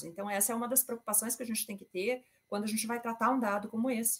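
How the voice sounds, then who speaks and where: A woman talks with a fairly high pitch and ordinary pitch variation. It is a normal speaking voice. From Brazil. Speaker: intellectual property and data protection consultant. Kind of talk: presentation with slides in a panel discussion.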